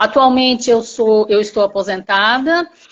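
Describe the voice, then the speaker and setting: Her pace is fairly slow. The woman's pitch is fairly high and varies in an ordinary way. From Brazil, Campinas (São Paulo state). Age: 60s. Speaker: retired teacher, program participant. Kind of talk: testimony. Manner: halting.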